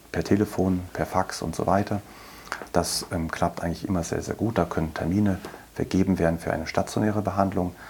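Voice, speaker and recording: Through noticeable background noise comes a man's very deep, low voice with monotone, flat intonation. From Berlin. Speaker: chief physician, lung specialist. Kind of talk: interview.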